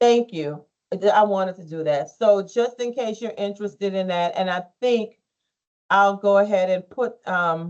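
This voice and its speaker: With an unremarkable speaking voice, a woman talks at a moderate pace and medium pitch, showing ordinary pitch variation and big swings in loudness. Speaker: school counselor. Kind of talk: advisement presentation to students.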